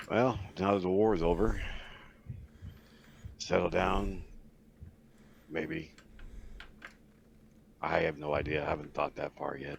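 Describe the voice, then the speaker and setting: Using a put-on character voice, a man speaks in a very deep, low, raspy pitch at a moderate pace with long, frequent pauses. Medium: actual play.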